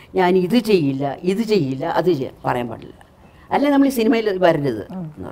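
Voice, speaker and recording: A woman talks with a fairly low pitch. Her pitch swings very widely. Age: old. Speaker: actress. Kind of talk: interview answer. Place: home room.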